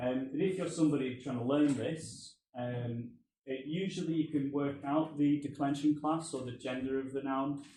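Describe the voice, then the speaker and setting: A man speaks at a moderate pace with a fairly high pitch and a dark, mellow tone. His intonation stays fairly even, and there is audible room echo. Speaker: postgraduate researcher. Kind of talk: academic presentation. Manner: hesitant, many fillers.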